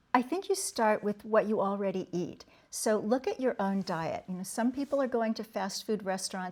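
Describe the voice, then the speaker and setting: A woman with a normal speaking voice talks at a moderate pace with hardly any pauses. Her pitch is fairly high, with ordinary variation. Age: 60s. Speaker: author and speaker. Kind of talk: interview.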